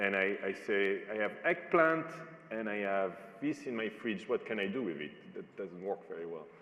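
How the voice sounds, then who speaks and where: A man with a non-native accent at a fairly low pitch, very wide pitch swings and a moderate pace, over noticeable background noise. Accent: foreign accent, noticeable. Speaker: panel moderator. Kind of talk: panel discussion.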